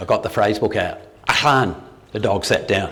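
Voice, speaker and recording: A man with an Australian accent, amid noticeable background noise and audible room echo. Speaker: retired doctor giving a talk. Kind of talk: public talk. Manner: halting, many fillers and restarts.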